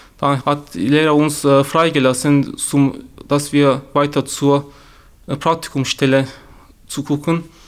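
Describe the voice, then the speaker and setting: On a very clean recording with a silent background, the voice speaks with a Turkish accent in monotone, flat intonation, with long, frequent pauses. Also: man, fairly high pitch for a man, fairly slow pace. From Turkey. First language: Turkish (speaking German). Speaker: youth newsroom member sharing racism experiences. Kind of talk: personal testimony. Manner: halting.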